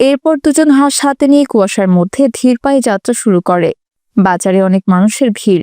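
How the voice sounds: A woman speaks at a medium pitch and a fairly quick pace, her tone clear, smooth and slightly mellow, with lively intonation in a dry, close sound with no echo.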